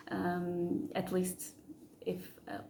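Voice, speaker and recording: A woman speaks with a non-native accent. Her voice is somewhat breathy. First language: not English. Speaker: spiritual channel creator. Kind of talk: casual monologue to camera. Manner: halting, many fillers and repeats.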